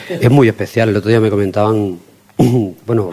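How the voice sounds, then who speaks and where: Noticeable background noise sits behind this recording. A man speaks at a fairly quick pace. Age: middle-aged. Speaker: blues guitarist and bandleader. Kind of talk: interview.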